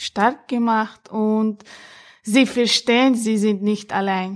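A woman's fairly high voice comes through a very clean recording with a silent background. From Chechnya. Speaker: member of women's podcast team. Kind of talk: casual personal statement. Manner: halting.

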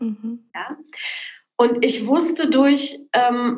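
This woman's voice is somewhat breathy. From Poland, raised in Berlin and Cologne from age ten. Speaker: entrepreneur. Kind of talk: interview.

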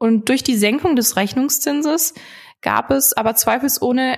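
A woman talks at a moderate pace with ordinary pitch variation. It is a plain, everyday voice. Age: 20s. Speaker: financial sales manager. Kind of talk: podcast interview explaining finance topics.

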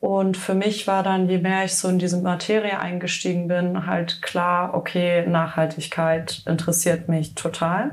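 A woman's fairly low voice, fairly slow and monotone, with hardly any pauses, very even loudness and audible room echo. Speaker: fashion startup founder. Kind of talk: podcast interview. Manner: casual with frequent fillers.

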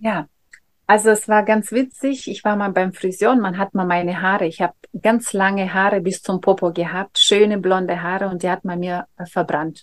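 Fairly even intonation runs through this woman's medium-pitched voice as she talks at a moderate speed. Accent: Russian. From Russia. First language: Russian (speaking German). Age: 40s. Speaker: face yoga trainer. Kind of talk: casual interview. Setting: video call.

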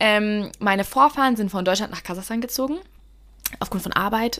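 With an animated tone, a woman speaks at a fairly quick pace and a fairly high pitch, with ordinary pitch variation. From Bavaria, Germany (Russian-German community). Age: 20s. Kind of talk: casual Q&A monologue. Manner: talkative, animated.

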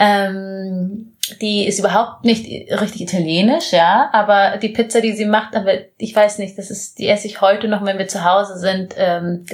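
Somewhat breathy delivery with fairly even intonation at a moderate pace. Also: woman. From Bavaria, Munich area. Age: 20s. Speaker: social entrepreneur, former model. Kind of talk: interview. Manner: halting.

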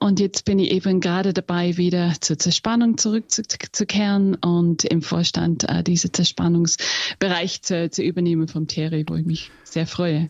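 The speech carries an Austrian accent, with fairly level intonation and barely any pauses. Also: woman, fairly low pitch for a woman, moderate pace. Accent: Austrian-tinged German. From England. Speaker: company executive. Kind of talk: interview. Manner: halting.

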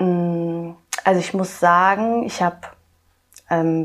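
The woman speaking has a fairly low pitch. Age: 20s. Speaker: kindergarten teacher. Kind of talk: interview. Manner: hesitant, many filler sounds.

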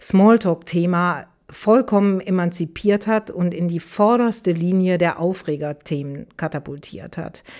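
In an Aachen accent, a woman speaks at a medium pitch and a fairly slow pace with ordinary pitch variation. The recording is very clean, with a silent background. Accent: Aachen regional colouring. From Aachen, Germany. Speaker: business journalist and podcast host. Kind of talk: interview conversation. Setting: studio.

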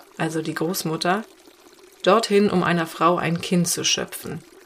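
A woman talks at a fairly slow pace with a fairly low pitch and fairly even intonation. Background noise is noticeable. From Cologne, Germany. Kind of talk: scripted narration. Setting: outdoors.

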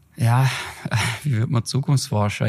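A somewhat breathy man speaks with ordinary pitch variation in a very clean recording with a silent background. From Germany, Heilbronn area (Baden-Württemberg). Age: 30s. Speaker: trend researcher and consultancy director. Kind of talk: podcast interview. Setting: in person together.

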